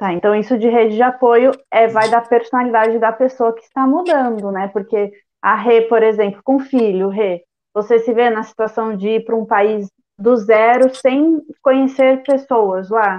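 A woman speaks at a fairly slow pace. Her pitch is fairly high and her intonation fairly even. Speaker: podcast host. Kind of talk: interview. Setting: video call.

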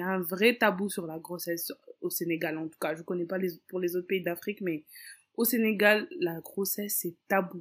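With lively intonation and a medium pitch, a woman talks at a moderate pace in a normal speaking voice. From Senegal, Dakar. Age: 20s. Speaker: mother and Instagram influencer. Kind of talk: casual interview.

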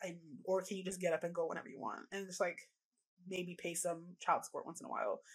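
With a Canadian accent, a woman talks very fast in a medium pitch, her voice somewhat breathy and her intonation fairly even. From Canada. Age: 20s. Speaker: reproductive rights activist. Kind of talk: podcast interview. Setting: video call.

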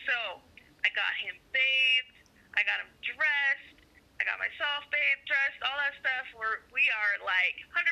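Spoken in a raised, projected voice with an American accent, the delivery moves at a fairly slow pace with ordinary pitch variation. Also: woman, high pitch for a woman. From Arizona. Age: 20s. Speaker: single mother. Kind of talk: casual interview.

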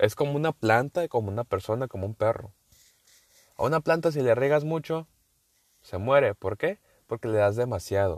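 With a northern Mexican accent, a man talks at a moderate pace and medium pitch, his intonation lively and the sound dry and close with no echo. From northern Mexico. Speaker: podcaster. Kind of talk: casual monologue. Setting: in a car.

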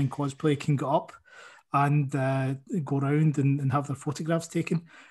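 Somewhat breathy male voice at a fairly high pitch, monotone and flat, at a moderate pace. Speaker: author. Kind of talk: casual interview chat. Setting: video call.

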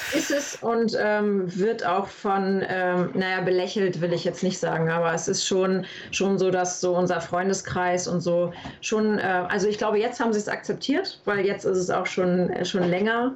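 A medium-pitched woman at a moderate pace, her intonation fairly even and loudness very even, with audible room echo. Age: 30s. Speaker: paintball player. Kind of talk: interview. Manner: hesitant, many fillers.

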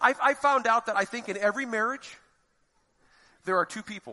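In an American accent, a man speaks at a very fast pace in a high-pitched, raised, projected voice with a bright, sharp tone, the sound dry and close with no echo. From Florida, US. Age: 50s. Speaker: lay preacher. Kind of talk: sermon.

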